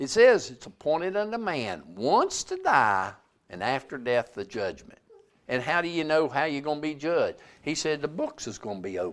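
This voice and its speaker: Moderate-paced man with a Southern US accent and very wide pitch swings. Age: 70s. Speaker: preacher. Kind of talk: sermon. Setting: church.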